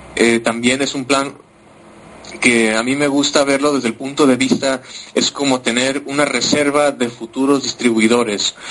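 A man's medium-pitched voice, monotone and flat, at a moderate pace over noticeable background noise. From Mexico. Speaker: compensation plan analyst. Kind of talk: business presentation. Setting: online conference.

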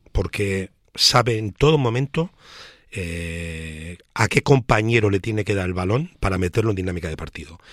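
Heard on a very clean recording with a silent background and a dry, close sound with no echo, a plain, everyday voice moves at a moderate pace with lively intonation. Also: man, fairly low pitch for a man. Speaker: basketball pundit. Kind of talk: casual chat.

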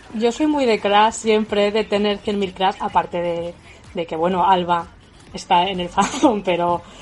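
Noticeable background noise is present throughout, and the talking is fairly slow. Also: woman, medium pitch for a woman, ordinary pitch variation. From Spain, Toledo province. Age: 20s. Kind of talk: casual chat.

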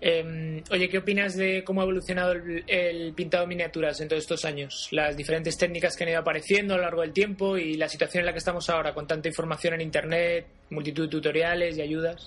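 The speech races along very fast with hardly any pauses. The intonation stays monotone and flat. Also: man, high pitch for a man. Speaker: podcast host interviewing miniature painters. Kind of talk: casual interview.

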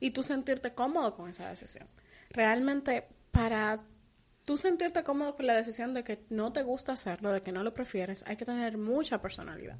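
Her voice sits high in pitch, and her intonation is lively. This woman moves along at a fairly quick pace. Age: young. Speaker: podcast co-host. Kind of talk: casual chat.

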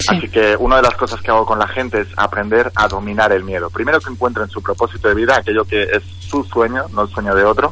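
Noticeable background noise sits behind a man with a fairly low pitch and ordinary pitch variation. He talks at a very fast pace with hardly any pauses. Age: 30s. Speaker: motivational coach. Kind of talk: radio interview. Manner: enthusiastic.

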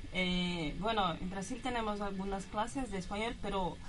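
In a room with audible echo, a woman with a Brazilian accent speaks at a moderate pace and medium pitch. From Brazil, São Paulo. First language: Portuguese (speaking Spanish). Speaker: exchange student. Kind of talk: radio interview.

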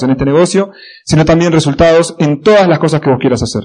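Delivered at a very fast pace in an Argentine accent, the speech has ordinary pitch variation. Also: man. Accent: Rioplatense Argentine Spanish. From Argentina, La Plata (Buenos Aires province). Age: 20s. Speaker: motivational speaker. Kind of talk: motivational talk. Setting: stage with audience.

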